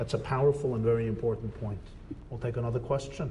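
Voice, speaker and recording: A man at a medium pitch with ordinary pitch variation, amid room echo and noticeable background noise. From United States. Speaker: rabbi lecturer. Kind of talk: lecture.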